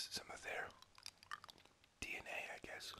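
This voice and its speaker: Over noticeable background noise, a man whispers. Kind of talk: ASMR gaming commentary. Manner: whispered, soft-spoken.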